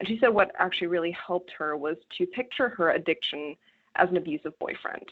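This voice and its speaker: Speaking at a very fast pace in a Canadian accent, a woman uses a medium pitch and ordinary pitch variation. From rural Canada. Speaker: journalist. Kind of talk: interview.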